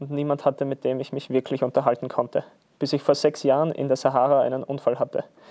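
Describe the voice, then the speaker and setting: In an Austrian accent, a man speaks at a fairly quick pace with a dark, mellow tone and monotone, flat intonation against a quiet background. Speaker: football player. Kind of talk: read story. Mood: calm festive storytelling. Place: studio.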